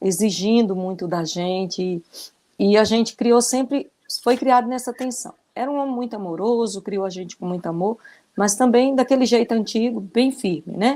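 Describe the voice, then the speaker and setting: This woman's voice has a dark, mellow tone and fairly high pitch, moving at a moderate pace with ordinary pitch variation. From Brazil, interior of Ceará (Northeast). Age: 60s. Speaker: retired teacher. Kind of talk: testimony.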